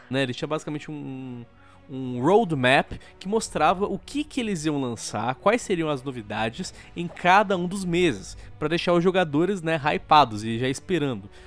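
The intonation is lively and the pace moderate. Music plays in the background. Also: man, fairly high pitch for a man. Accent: Brazilian. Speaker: gaming YouTuber. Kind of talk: angry rant. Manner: sarcastic, heated.

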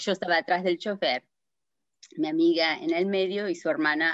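A woman's fairly low voice at a moderate pace, with ordinary pitch variation, a dry sound with no echo and a quiet background. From New Jersey, US (Argentine-born, moved at seven). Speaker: accident survivor sharing her story; interview guest. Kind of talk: testimony; interview answer, personal story. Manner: halting, many fillers. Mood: earnest, recounting a tragedy. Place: home room. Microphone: video call.

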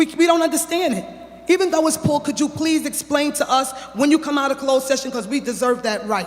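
Beneath the speech, noticeable noise persists while the pitch varies in an ordinary way. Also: man. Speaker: parent speaking at public comment. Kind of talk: public comment at board meeting. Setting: public meeting at microphone. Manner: fast; heated.

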